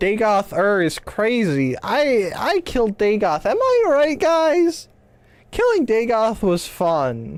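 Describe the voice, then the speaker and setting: Very slow speech carries very wide pitch swings at a very even loudness. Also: woman, fairly high pitch for a woman. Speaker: video game streamer. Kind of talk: casual live-stream chat.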